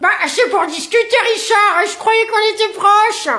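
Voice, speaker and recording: Doing a put-on character voice at an extremely high pitch, a woman talks at a moderate pace with very even loudness over light background noise. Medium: comedy sketch. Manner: chatty, bubbly.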